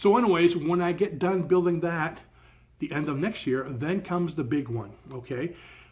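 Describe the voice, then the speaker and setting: Pitch moves in an ordinary way in a normal speaking voice. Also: man. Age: 60s. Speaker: DIY boat builder and vlogger. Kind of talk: casual video introduction. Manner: upbeat, conversational.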